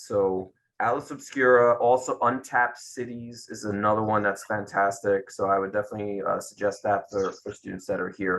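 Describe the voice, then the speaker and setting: The tone is bright and sharp, delivered at a moderate pace with a Brooklyn accent. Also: man. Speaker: career coach. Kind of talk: interview. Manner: enthusiastic.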